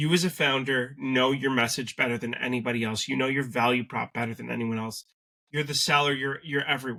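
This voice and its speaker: With a bright, sharp tone, a man speaks at a fairly quick pace, his medium pitch held in fairly even intonation. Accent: Canadian. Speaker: sales agency co-founder. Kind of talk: business interview.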